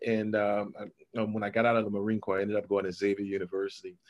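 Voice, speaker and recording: A man with a New Orleans accent, fairly low-pitched, at a very fast pace with hardly any pauses. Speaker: entrepreneur and author. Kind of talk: interview.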